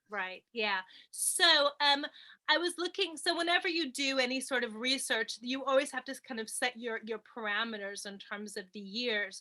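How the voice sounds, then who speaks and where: Speaking in a New York accent, a woman projects a raised voice with a bright, sharp tone at a high pitch and moderate pace. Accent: American (New York). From New York, US. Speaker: film lecturer and author. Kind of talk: interview. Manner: hesitant, many fillers.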